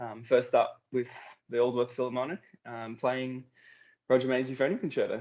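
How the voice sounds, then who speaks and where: A man with an Australian accent talks at a moderate pace and medium pitch, with long, frequent pauses and big swings in loudness. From Queensland, Australia. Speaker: euphonium soloist, air force musician. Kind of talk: casual interview.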